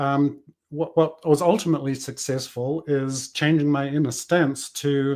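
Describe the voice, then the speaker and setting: With a New Zealand accent, a man speaks fairly slowly at a fairly high pitch in a monotone, flat intonation. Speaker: business coach. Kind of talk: interview conversation. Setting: podcast.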